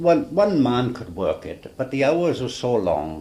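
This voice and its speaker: A man with a South Wales accent talks at a very slow pace over noticeable background noise. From Swansea, Wales. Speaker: retired ferryman. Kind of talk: oral history interview answer.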